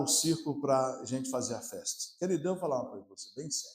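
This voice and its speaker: A man's fairly high-pitched voice, with audible echo from the room. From Brazil, Maranhão (São Luís). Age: 60s. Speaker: pastor. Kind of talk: sermon. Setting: church. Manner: animated.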